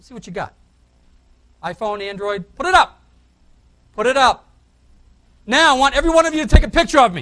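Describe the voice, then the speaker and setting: A man with a Boston accent speaks very fast in an extremely high, raised and projected voice, animated and full of very wide pitch swings and big swings in loudness, broken by long, frequent pauses. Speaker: conference speaker on real estate technology. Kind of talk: conference keynote talk. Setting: stage with audience.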